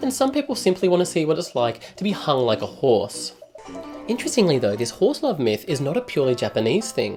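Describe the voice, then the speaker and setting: Speaking at a very fast pace with an Australian accent, a man is heard over music in the background. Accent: thick Australian. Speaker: travel vlogger. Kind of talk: comedic travel narration.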